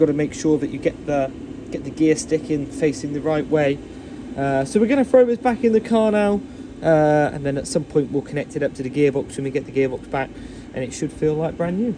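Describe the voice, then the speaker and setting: Speaking fairly quickly with an English accent, a man uses a fairly high pitch and lively intonation. Background noise is noticeable. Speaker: classic car restorer, DIY video host. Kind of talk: tutorial. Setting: garage. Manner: casual, a bit halting.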